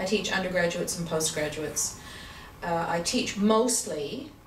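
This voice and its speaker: A woman with a Canadian accent speaks at a fairly slow pace, her pitch fairly low with ordinary variation. Noticeable background noise and audible room echo surround her voice. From Canada, Vancouver. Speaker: accountant and university teacher. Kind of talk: interview. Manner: hesitant, many fillers.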